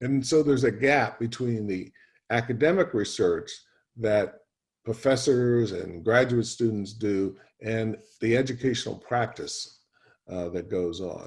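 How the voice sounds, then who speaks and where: A man speaks at a medium pitch, somewhat breathy. His pace is fairly slow and his pitch varies in an ordinary way. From USA. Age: 70s. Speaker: professor. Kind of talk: lecture. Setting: video call. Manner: hesitant fillers.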